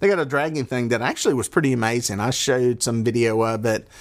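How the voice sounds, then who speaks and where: Delivered at a moderate pace with a Southern US accent, the speech has ordinary pitch variation on a very clean recording with a silent background. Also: man. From US South. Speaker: fishing podcaster and charter guide. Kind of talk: solo podcast monologue. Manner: casual, rambling.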